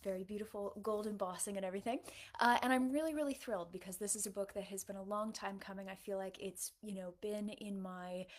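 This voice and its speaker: Speaking with an American accent, a woman of medium pitch keeps a fairly quick pace. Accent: American-sounding accent despite living in UK. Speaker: novelist. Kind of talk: livestream Q&A. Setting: livestream. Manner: casual, many fillers (um, uh).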